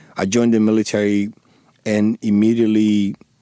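A man's fairly low voice with a dark, mellow tone, a strong Dominican accent and monotone, flat intonation, in a dry, close sound with no echo. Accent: thick Spanish (Dominican) accent in English. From Dominican Republic. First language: Spanish. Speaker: former police officer and war veteran. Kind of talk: interview. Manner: halting, many fillers and repeated words.

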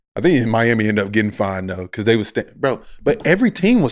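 Talking at a fairly quick pace, a man is heard. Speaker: basketball player and podcast host. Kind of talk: casual chat.

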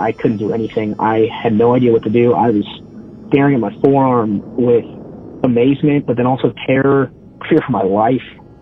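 Over music in the background, a man with an American accent speaks at a moderate pace with fairly even intonation. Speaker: storyteller. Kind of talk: ghost story telling.

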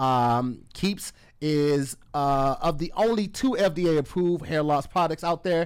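A man's animated tone on a very clean recording with a silent background. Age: 30s. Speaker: comedian and podcast co-host. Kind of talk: casual chat.

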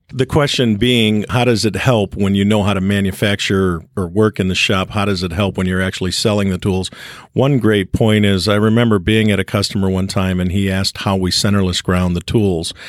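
A man at a fairly low pitch in a plain, everyday voice, fairly quick with hardly any pauses and fairly even intonation. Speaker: cutting tool manufacturer. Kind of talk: casual interview.

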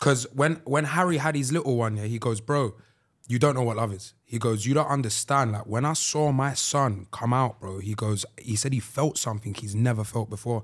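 A man talks with a London accent and ordinary pitch variation. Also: medium pitch for a man, moderate pace. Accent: London Multicultural English. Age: 20s. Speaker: podcast co-host. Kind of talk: casual chat. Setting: studio.

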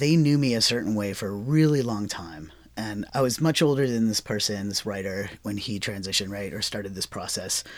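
At a fairly quick pace with hardly any pauses, a man speaks at a fairly low pitch with ordinary pitch variation. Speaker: writer and visual artist. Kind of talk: casual chat. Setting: studio.

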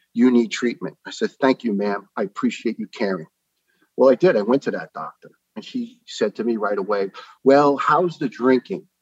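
With a New York accent, a man speaks at a medium pitch. His voice moves through very wide pitch swings. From New York (Staten Island). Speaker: retired firefighter, cancer survivor. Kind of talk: interview storytelling. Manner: fast.

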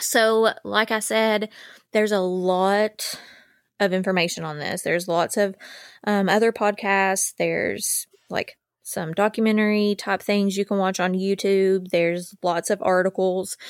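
On a very clean recording with a silent background, a woman at a medium pitch speaks at a fairly slow pace with monotone, flat intonation. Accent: Appalachian. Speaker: true crime podcast host. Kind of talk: scripted narration and casual chat.

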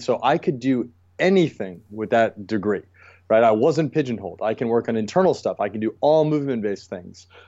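At a fairly quick pace, a man talks in an ordinary speaking voice with a medium pitch. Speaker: acupuncturist and movement specialist. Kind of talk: interview about mobility and training.

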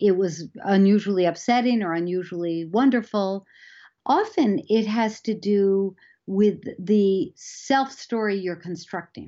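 Hers is a plain, everyday voice, medium in pitch, with ordinary pitch variation and a fairly slow pace. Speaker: psychology professor. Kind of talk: interview.

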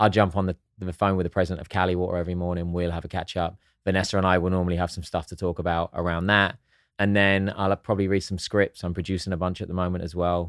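A man with an English accent talks at a very fast pace with a very deep, low pitch and monotone, flat intonation. The recording is very clean, with a silent background and a dry, close sound with no echo. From southern England (East Sussex). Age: 40s. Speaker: actor and entrepreneur. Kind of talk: casual chat.

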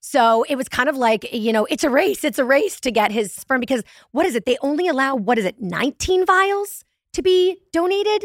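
A woman's high voice at a fairly quick pace, with very wide pitch swings, very even loudness, and a dry, close sound without echo. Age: 40s. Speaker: podcaster. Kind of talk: casual chat.

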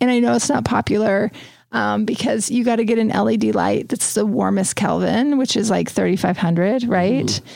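A woman talks at a fairly slow pace. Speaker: interior design podcast host. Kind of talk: casual chat.

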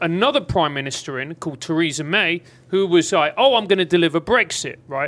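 With an English accent, a man talks at a fairly quick pace in a fairly high voice. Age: 40s. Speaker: podcast host and comedian. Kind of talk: casual chat. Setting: studio.

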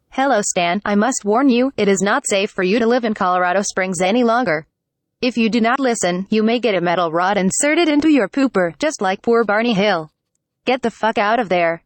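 Pitched fairly high, a put-on character voice sounds robotic and moves at a fairly quick pace.

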